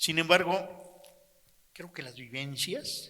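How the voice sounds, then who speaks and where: A man speaks in a high, bright, sharp voice. His pace is very slow. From Mexico, Chetumal (Quintana Roo). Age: 80s+. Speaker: audience member. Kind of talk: testimony.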